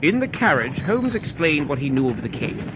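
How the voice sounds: A fairly high-pitched man's voice, fairly bright in tone, with big pitch swings at a moderate pace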